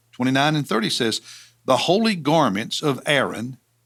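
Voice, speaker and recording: With a Southern US accent, a man talks in a fairly high voice with lively intonation. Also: very clean recording, silent background. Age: 60s. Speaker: pastor. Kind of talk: Bible teaching. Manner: halting, with many fillers.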